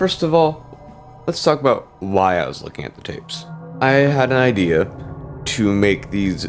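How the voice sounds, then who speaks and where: A man at a fairly slow pace with very wide pitch swings and big swings in loudness, music in the background. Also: medium pitch for a man. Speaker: lore theory video creator. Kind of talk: casual talk to camera. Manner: halting, stuttering, pausing between words.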